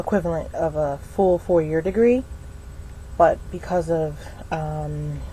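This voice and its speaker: A woman at a fairly slow pace with long, frequent pauses, amid noticeable background noise. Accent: American. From US South. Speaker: vlogger. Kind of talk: personal vlog monologue. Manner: halting, many fillers.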